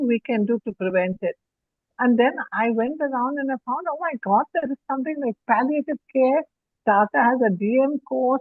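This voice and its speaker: With a high pitch and lively intonation, a woman speaks at a moderate pace. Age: 80s+. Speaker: pediatrician and palliative care founder. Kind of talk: interview.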